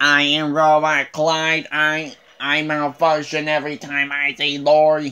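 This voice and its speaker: Fairly slow and hardly pausing, this put-on character voice sits at a middle pitch with monotone, flat intonation. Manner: comic malfunctioning.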